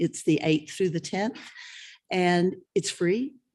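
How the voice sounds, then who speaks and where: A woman talks at a moderate pace, her pitch varying in an ordinary way, with a quiet background. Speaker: festival volunteer coordinator. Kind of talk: informational talk to a student meeting. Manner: loud; animated.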